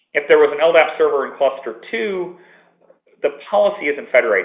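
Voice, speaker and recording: A man with a fairly high pitch talks at a moderate pace, his pitch swinging very widely. Music plays behind him. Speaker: software architect presenting a product. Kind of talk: webinar presentation. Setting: office, remote webinar line.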